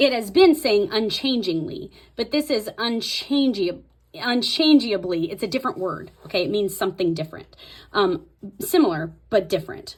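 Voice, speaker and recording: A somewhat breathy woman's voice, fairly high in pitch, with very wide pitch swings at a moderate pace. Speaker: Bible journaling tutorial creator. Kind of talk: tutorial. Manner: casual, self-correcting.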